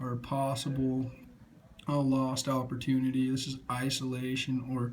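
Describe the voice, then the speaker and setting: A man with a medium pitch speaks at a fairly slow pace amid audible room echo. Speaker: student presenter. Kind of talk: class presentation. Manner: halting.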